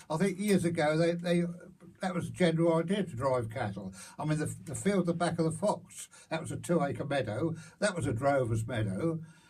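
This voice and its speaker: The speaker has a Hertfordshire accent and a fairly quick pace. The intonation is lively. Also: man, fairly high pitch for a man. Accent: rural Hertfordshire English. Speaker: local elder recalling farm life. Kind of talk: oral history interview. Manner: halting.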